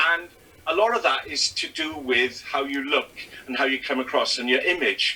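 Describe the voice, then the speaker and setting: With a Welsh accent, a man talks at a medium pitch and a moderate pace. Noticeable noise sits in the background. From Wales. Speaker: stand-up comedian. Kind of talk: casual interview chat.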